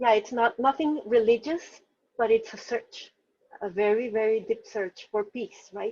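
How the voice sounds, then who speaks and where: A woman's fairly high pitch in a dark, mellow tone, at a fairly slow pace with ordinary pitch variation. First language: Spanish. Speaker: novelist. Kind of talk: interview. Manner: halting, many fillers and restarts.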